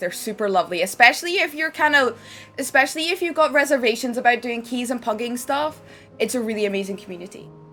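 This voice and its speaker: A woman with a Scottish accent speaks at a fairly quick pace in a fairly high pitch. Her tone is animated and her intonation lively. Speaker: game streamer. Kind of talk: live stream chat.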